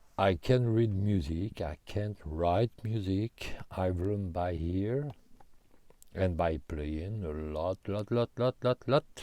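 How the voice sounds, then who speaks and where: In a very clean recording with a silent background, a man with a French accent speaks very slowly in a very deep, low pitch and a dark, mellow tone. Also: ordinary pitch variation, dry, close sound with no echo. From France. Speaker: guitarist answering viewer questions. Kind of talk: casual Q&A monologue. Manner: halting, many hesitations.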